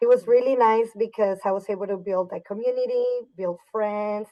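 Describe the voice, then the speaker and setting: Speaking in a Spanish accent, a woman keeps a moderate pace. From Mexico (Torreon, Coahuila), moved to Dallas at 12. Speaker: high school dance teacher. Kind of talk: podcast interview.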